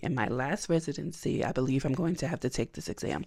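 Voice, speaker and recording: Against a quiet background, a woman with a very deep, low pitch speaks in an animated tone, showing ordinary pitch variation and vocal fry. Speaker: book vlogger and counseling student. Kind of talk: casual vlog.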